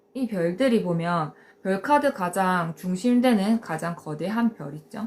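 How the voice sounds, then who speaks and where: The speaker is somewhat breathy, talking at a very slow pace with lively intonation. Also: woman. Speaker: tarot teacher. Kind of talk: live-stream lecture. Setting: live stream. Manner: hesitant with frequent fillers.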